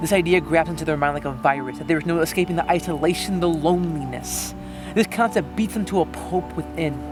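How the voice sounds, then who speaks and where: A man talks at a very fast clip while music plays in the background. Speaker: slam poet. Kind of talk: slam poetry performance. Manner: earnest, emotional.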